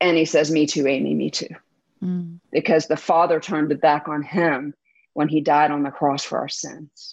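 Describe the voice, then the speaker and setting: Against a quiet background, a woman speaks with a very deep, low pitch and monotone, flat intonation. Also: moderate pace. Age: 40s. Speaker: trauma survivor sharing her faith story. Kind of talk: interview testimony.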